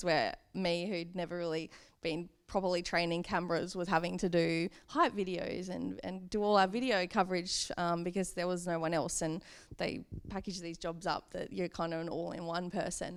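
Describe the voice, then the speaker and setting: With an Australian accent, a woman speaks at a moderate pace in a fairly low voice with fairly even intonation. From Hobart, Tasmania, Australia. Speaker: social media and publicity manager. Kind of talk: interview answer. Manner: casual, conversational.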